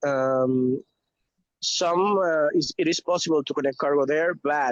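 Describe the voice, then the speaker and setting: The sound is dry and close with no echo as a man with a fairly high pitch speaks at a fairly slow pace with fairly even intonation. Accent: Spanish. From Venezuela. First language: Spanish. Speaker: logistics professional. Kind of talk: video call update. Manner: halting, many fillers.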